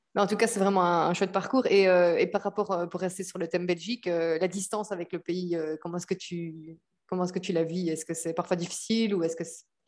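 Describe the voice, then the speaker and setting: A woman with an ordinary speaking voice, fairly low pitch, fairly even intonation and a fairly quick pace, against a quiet background. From Belgium. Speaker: podcast host. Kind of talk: casual interview.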